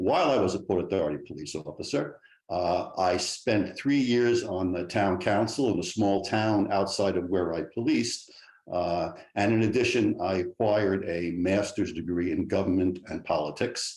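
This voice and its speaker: In a New York accent, a man talks at a moderate pace with a fairly low pitch and ordinary pitch variation. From New York City. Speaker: state legislator, political candidate. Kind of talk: debate opening statement. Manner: halting, many fillers.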